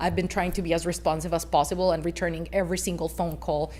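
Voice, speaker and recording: Audible room echo surrounds a woman speaking with a non-native accent. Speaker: waste company representative. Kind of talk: council presentation. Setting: city council meeting. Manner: hesitant, many fillers.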